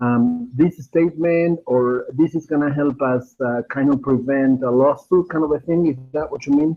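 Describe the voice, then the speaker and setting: A man with a Spanish accent speaks at a moderate pace with hardly any pauses. His pitch is fairly high and his intonation fairly even. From Argentina. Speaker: web designer. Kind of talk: audience question. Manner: halting.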